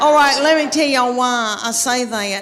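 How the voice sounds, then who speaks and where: A woman speaks at a moderate pace with a Southern US accent, her pitch fairly high and ordinary in its variation. Noticeable background noise sits behind her. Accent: Southern American. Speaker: stand-up comedian. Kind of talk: stand-up comedy set.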